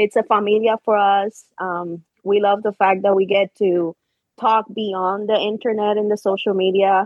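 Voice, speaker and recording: At a moderate pace, a woman with a Spanish accent speaks at medium pitch with monotone, flat intonation. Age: 30s. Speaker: social media community co-founder, military veteran. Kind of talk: casual chat. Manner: quiet.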